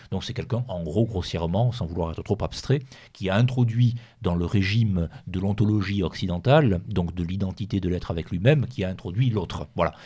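A man speaks fairly quickly in a fairly low pitch with a dark, mellow tone. His voice is somewhat breathy, and his pitch varies in an ordinary way. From Rouergue, southern France. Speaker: writer. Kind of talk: radio interview.

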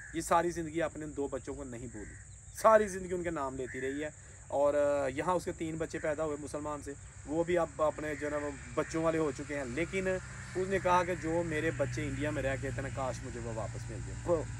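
Noticeable background noise sits under a man speaking at a moderate pace with fairly even intonation, the sound dry with no echo. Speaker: presenter. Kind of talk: narrated history storytelling to camera. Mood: solemn, compassionate. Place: open country. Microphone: handheld.

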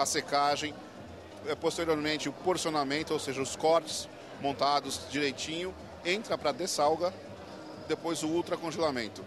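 Recorded dry with no echo, a man speaks at a moderate pace against noticeable background noise. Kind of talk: interview answer. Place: hall. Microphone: handheld.

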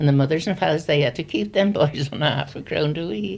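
A woman talks at a fairly quick pace. Her very deep, low pitch carries vocal fry. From Gloucestershire, England. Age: 80s+. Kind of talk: reminiscence.

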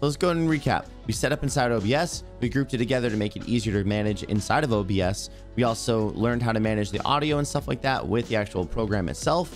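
A man rattles along at a very fast pace with hardly any pauses, faint music behind him. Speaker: tech tutorial creator. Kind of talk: tutorial.

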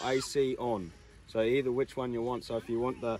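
Over light background noise, a man talks at a moderate pace, the sound dry with no echo. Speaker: vlogger. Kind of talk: casual product demo vlog.

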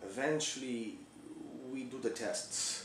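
A man talks over light background noise, with audible room echo. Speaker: storyteller playing a doctor character. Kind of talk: comedic character monologue. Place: home room. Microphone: camera far.

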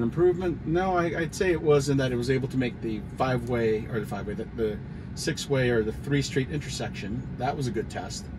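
A man at a moderate pace, amid noticeable background noise. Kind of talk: casual driving commentary. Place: car. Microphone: phone near.

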